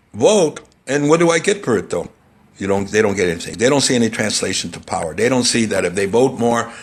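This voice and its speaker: Through noticeable background noise, a man talks very fast at a medium pitch. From Indiana, US Midwest. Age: 70s. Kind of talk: radio interview.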